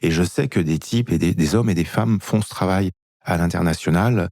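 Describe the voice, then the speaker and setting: The recording of a man's voice is very clean, with a silent background and a dry, close sound with no echo. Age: 50s. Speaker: author and movement method founder, former dancer. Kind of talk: interview.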